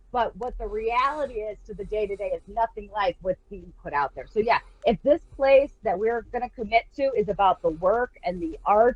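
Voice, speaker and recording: A woman speaks at a moderate pace. Her high pitch carries lively intonation. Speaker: poet and teacher. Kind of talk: casual chat. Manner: gets loud when excited.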